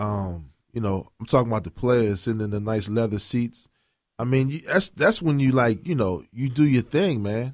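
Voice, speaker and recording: With a normal speaking voice, a man at medium pitch talks at a moderate pace with lively intonation, recorded very cleanly over a silent background. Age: 40s. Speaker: personal injury attorney, show sponsor. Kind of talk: casual sports chat. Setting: studio.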